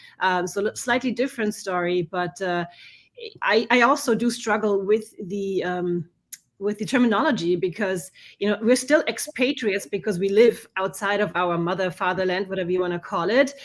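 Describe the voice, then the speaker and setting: Spoken with a German accent, the voice moves at a moderate pace with ordinary pitch variation. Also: woman, medium pitch for a woman. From Germany, Bavaria (Munich). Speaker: conference organizer for expats. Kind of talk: casual interview. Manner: halting, many restarts.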